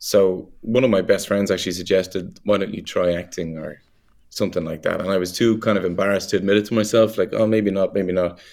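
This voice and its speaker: A man with an Irish accent, very fast, fairly low-pitched and fairly even in intonation, on a very clean recording with a silent background. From Ireland. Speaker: actor. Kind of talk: casual interview.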